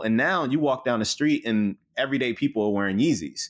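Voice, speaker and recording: A man with an American accent talks in an ordinary speaking voice at a medium pitch. His pace is fairly quick and his intonation lively. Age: 30s. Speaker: marketing executive. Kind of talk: interview.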